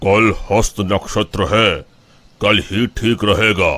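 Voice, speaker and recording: Using a cartoonish character voice, a man speaks very slowly at a medium pitch. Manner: calm, measured.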